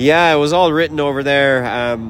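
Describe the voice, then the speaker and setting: A man with an Irish accent talks at a fairly quick pace over noticeable background noise. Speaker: musician. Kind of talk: interview.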